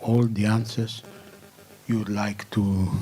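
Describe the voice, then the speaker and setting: A man at a medium pitch, with a non-native accent, a very slow pace, and fairly even intonation, amid audible room echo and noticeable background noise. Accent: non-native accent, self-noted. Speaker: press club board member introducing speaker. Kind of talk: press conference introduction. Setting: press club conference room, web streamed. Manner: hesitant, with fillers.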